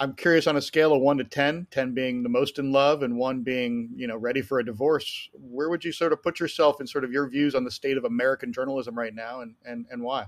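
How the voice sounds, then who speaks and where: This is an ordinary speaking voice with fairly even intonation, moving at a fairly quick pace. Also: man. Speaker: podcast host. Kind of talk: interview. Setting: video call.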